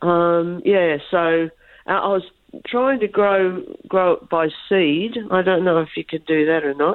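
A woman speaks at a fairly slow pace. Her pitch is fairly low, with ordinary variation. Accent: Australian. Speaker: caller. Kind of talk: radio call-in question.

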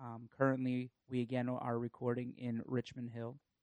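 With a normal speaking voice, a man talks at a medium pitch and a fairly slow pace. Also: dry, close sound with no echo. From northern US. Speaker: podcast host. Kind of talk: casual chat. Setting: recording at a home.

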